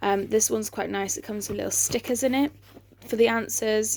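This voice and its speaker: At a moderate pace, a woman talks with an English accent. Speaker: vlogger. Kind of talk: casual chat. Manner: hesitant, many fillers.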